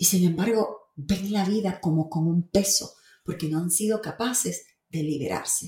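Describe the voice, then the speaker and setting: A woman speaks fairly slowly in a medium pitch, her voice somewhat breathy with a dark, mellow tone. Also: ordinary pitch variation. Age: 50s. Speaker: podcast host and faith-based life coach. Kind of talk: monologue. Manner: animated.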